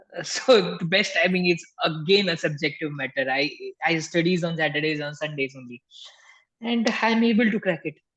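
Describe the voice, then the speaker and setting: Speaking at a moderate pace, a man with a high pitch talks in an Indian accent. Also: ordinary pitch variation. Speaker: tax instructor. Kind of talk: live webinar Q&A. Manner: soft-spoken.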